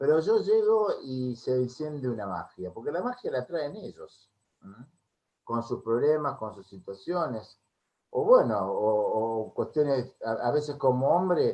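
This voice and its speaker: Speaking at a fairly slow pace, a man with a fairly high pitch and a dark, mellow tone makes very wide pitch swings and big swings in loudness. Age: 60s. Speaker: music therapist. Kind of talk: interview.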